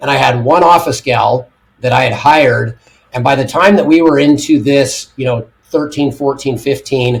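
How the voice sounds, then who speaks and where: Using vocal fry at a fairly high pitch, a man keeps fairly even intonation and a moderate pace. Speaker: real estate investor. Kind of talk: podcast interview.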